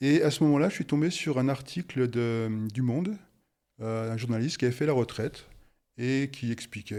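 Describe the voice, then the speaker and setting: The voice has a dark, mellow tone. It moves at a moderate pace with ordinary pitch variation. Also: man. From France, Haute-Savoie. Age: 60s. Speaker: retired engineer. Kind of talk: interview testimony. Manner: halting, many hesitations.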